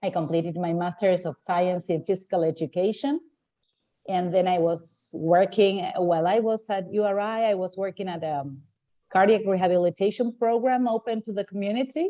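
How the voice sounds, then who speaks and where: Speaking with a Spanish accent, a woman has a dark, mellow tone at a medium pitch, with ordinary pitch variation and a moderate pace. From Argentina. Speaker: translator. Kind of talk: video meeting introduction.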